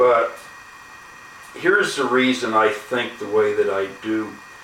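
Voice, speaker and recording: A man talks fairly slowly while audible room echo and noticeable background noise surround him. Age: 60s. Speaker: YouTuber, gun owner. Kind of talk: casual vlog monologue. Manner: halting, many fillers.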